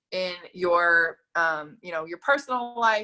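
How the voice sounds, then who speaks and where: The speaker is a woman with an American accent. Her voice sounds bright and sharp. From Mississippi, US South. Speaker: network marketing coach. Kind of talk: sales pitch. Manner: fast; animated.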